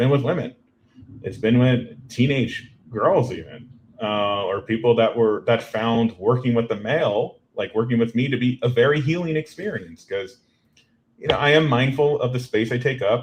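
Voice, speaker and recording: This man's voice is pitched in the medium range. It sounds somewhat breathy. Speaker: marriage and family therapist. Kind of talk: podcast interview. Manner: direct.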